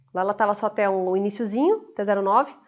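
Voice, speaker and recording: Against a quiet background, a woman talks at a fairly quick pace in a fairly high voice. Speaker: university lecturer. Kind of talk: lecture. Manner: fast.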